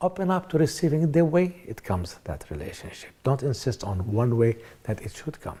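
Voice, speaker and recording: A somewhat breathy man with a dark, mellow tone speaks with very wide pitch swings. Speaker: author and motivational speaker. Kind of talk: self-help seminar talk. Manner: fast.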